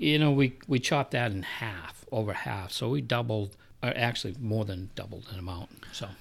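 A man speaks with an American accent at medium pitch, somewhat breathy, with ordinary pitch variation and a moderate pace. The recording is very clean, with a silent background. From New Hampshire, US (Milford). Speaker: public works director. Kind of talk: interview. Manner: halting.

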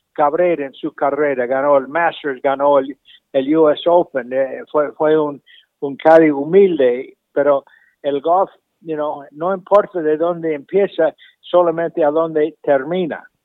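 Here a man speaks with a fairly high pitch. His delivery is fairly slow, with fairly even intonation. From Argentina. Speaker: golf professional and instructor. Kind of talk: interview. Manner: halting, frequent repetitions.

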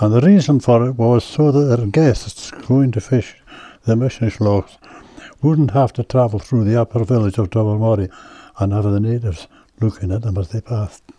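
This man has a West Highland Scottish accent and a dark, mellow, somewhat breathy tone. His medium pitch has ordinary variation, and he talks at a moderate pace. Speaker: local elder and storyteller. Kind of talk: casual interview.

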